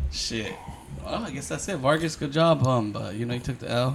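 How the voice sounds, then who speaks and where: A man speaks over noticeable background noise. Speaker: podcast host. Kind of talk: casual banter podcast chat.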